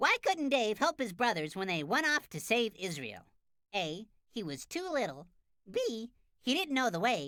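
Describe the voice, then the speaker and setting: A female-sounding cartoonish character voice comes through at a fairly high pitch. Its pitch swings very widely. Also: moderate pace. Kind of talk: children's cartoon quiz. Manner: bright, clear, upbeat.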